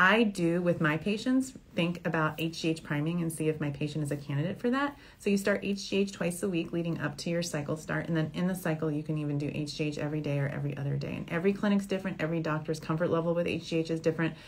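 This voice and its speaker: A woman speaks very fast with an American accent, hardly pausing at all. Her voice is fairly low and somewhat breathy, with ordinary pitch variation. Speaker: fertility doctor. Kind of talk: Q&A advice show. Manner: animated.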